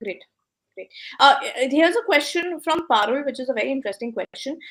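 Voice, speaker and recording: Speaking with an Indian accent, a woman uses a high pitch, lively intonation and big swings in loudness. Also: fairly quick pace. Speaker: business coach and host. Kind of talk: live interview Q&A. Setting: online live session.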